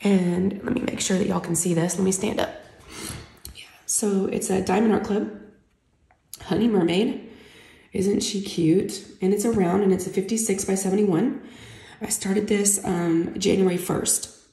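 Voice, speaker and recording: A woman talks fairly slowly at a medium pitch, leaving long, frequent pauses. Her voice is somewhat breathy and dark, mellow in tone, with fairly even intonation. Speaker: craft vlogger. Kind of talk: casual chat. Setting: home craft room. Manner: casual, friendly.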